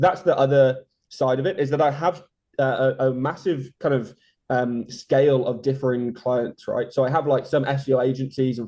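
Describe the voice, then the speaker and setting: A man speaks in a dark, mellow tone with a flat, monotone delivery. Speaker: SEO consultant. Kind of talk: interview. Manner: fast.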